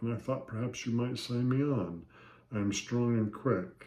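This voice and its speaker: A man does a put-on character voice at a medium pitch and a moderate pace. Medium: read story. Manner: crisp, bold.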